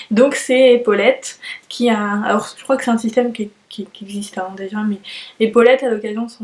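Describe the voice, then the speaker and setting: A woman speaks at a moderate pace in a fairly high voice with fairly even intonation, and background noise is noticeable. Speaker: knitting podcaster. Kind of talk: casual monologue. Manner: hesitant, many fillers.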